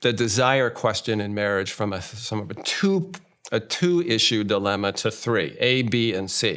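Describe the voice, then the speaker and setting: A man with an American accent talks at a moderate pace in a medium pitch, with lively intonation. It is a plain, everyday voice. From United States. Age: 60s. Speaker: marriage therapist. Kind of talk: interview. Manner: conversational.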